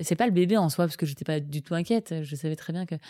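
Over a silent background in a very clean recording, a woman speaks at a fairly quick pace. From France, Paris region. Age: 20s. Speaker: nurse and bereaved mother. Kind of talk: personal testimony interview. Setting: at the host's home. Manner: hesitant, many fillers.

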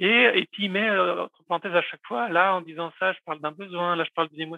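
The man's pitch is high, with ordinary pitch variation. He speaks at a very fast pace. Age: 40s. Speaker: communication trainer. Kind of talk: interview conversation. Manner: hesitant, with many fillers.

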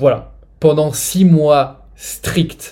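A man's somewhat breathy voice, fairly high in pitch, with a dark, mellow tone and fairly even intonation. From France. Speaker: nutrition influencer with multiple sclerosis. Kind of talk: interview testimony.

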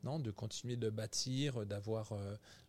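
A man talks in a somewhat breathy voice at medium pitch, his intonation staying fairly level. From France, Burgundy. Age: 50s. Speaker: executive chef. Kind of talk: interview. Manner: halting, many repetitions.

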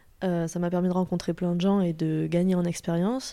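Her voice has a dark, mellow tone at a medium pitch. This woman is heard in a very clean recording with a silent background. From southern France, Toulouse. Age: 20s. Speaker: animal osteopathy student. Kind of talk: interview conversation. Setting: host's home.

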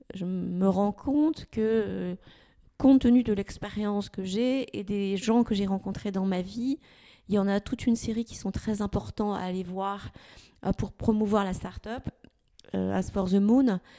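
A woman talks at a fairly slow pace with long, frequent pauses, her tone dark and mellow at a medium pitch with ordinary variation. The recording is very clean, with a silent background. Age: 60s. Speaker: former HR director turned entrepreneur. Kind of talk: interview.

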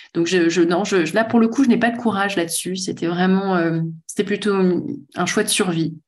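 A woman talks in an unremarkable speaking voice at a medium pitch. Her pace is moderate, with ordinary pitch variation. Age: 40s. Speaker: author and speaker on work. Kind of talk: casual interview conversation.

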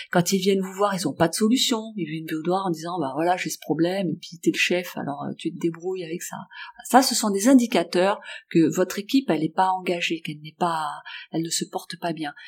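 Speaking at a fairly quick pace, a woman with a fairly low pitch shows ordinary pitch variation and big swings in loudness. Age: 50s. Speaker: workplace wellbeing coach. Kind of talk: interview.

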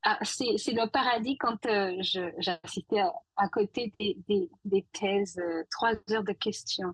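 Speaking very slowly, a woman with a somewhat breathy, medium-pitched voice uses ordinary pitch variation, with a dry, close sound and no echo. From Guadeloupe. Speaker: scientist. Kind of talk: podcast interview.

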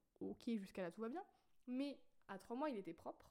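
An unremarkable speaking voice moves at a fairly quick pace. Its intonation is lively. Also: woman. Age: 20s. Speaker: podcaster. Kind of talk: casual monologue. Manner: spontaneous, with fillers.

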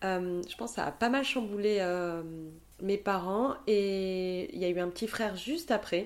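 The pace of this woman's speech is fairly slow. She talks at a medium pitch. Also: ordinary pitch variation. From southern France, Montpellier. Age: 30s. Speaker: photographer. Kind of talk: interview conversation.

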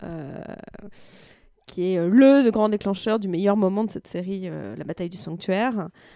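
Her dark, mellow tone sits at a medium pitch for a woman, delivered at a moderate pace with fairly even intonation. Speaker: translator and novelist. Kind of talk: casual chat.

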